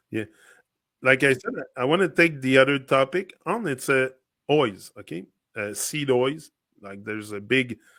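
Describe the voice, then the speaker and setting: A man with a French accent talks at a moderate pace and medium pitch, his tone bright and sharp. The recording is very clean, with a silent background. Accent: French accent, noticeable H on oil. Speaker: podcast co-host. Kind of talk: casual chat.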